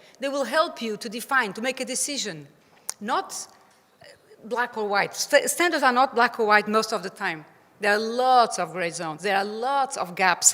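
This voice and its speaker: This woman's voice sits fairly high and has a bright, sharp tone. She speaks with a Portuguese accent. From Portugal. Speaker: playground safety expert. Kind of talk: conference presentation. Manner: halting.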